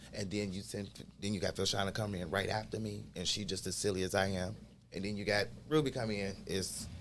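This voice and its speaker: A man talks at a very fast pace in a fairly low pitch, with vocal fry and ordinary pitch variation. Audible room echo surrounds the voice. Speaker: clinic health worker. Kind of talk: podcast interview. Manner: loud.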